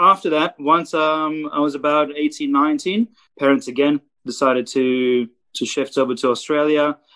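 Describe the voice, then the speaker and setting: With a Romanian accent, a man talks at a fairly slow pace and a fairly high pitch. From South Africa. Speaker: photographer. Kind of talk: casual chat.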